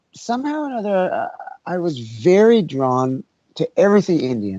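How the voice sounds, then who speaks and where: A man with an American accent speaks in a dark, mellow tone. The background is quiet. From New York City. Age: 60s. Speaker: musician. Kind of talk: interview.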